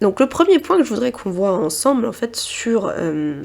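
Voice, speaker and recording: A woman speaking at a fairly slow pace. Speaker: naturopathy advisor. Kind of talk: tutorial. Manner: hesitant, many fillers.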